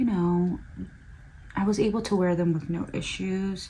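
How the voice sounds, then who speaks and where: The speaker has an American accent and talks at a moderate pace, with audible room echo. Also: woman. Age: 20s. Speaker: beauty vlogger. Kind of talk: casual chat.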